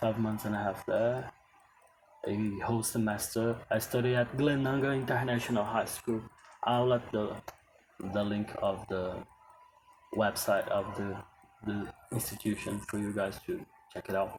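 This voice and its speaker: Long, frequent pauses break up a man's speech, delivered with fairly even intonation over noticeable background noise. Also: medium pitch for a man, moderate pace. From Brazil. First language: Portuguese. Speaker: English teacher. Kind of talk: casual talk to camera. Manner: halting.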